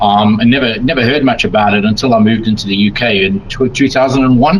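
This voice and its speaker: Noticeable background noise sits behind the speaker. He is a man with a South African accent. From South Africa, Durban, Natal coast. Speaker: miniature painting tutorial producer. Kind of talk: casual interview chat. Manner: hesitant, many fillers.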